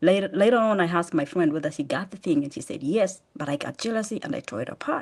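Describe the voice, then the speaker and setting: A woman talks with a Kenyan accent. She keeps a fairly quick pace. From Kenya, eastern. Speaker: charity founder. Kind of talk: testimony. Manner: fast.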